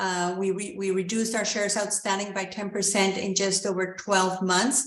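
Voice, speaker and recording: A woman speaks with a Spanish accent at a medium pitch and moderate pace. Room echo is audible. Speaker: mining company executive. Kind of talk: investor Q&A. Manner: halting, many fillers.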